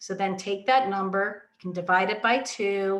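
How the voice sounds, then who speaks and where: Her voice falling in the middle range, a woman is talking. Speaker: family law attorney. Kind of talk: legal explainer talk to camera. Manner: calm, slow.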